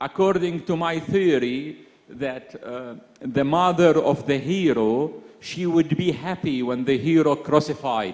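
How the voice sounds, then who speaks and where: Speaking fairly slowly, a man with an Arabic accent has a fairly high pitch. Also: ordinary pitch variation. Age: young. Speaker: poet. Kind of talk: panel conversation at literary festival. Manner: halting.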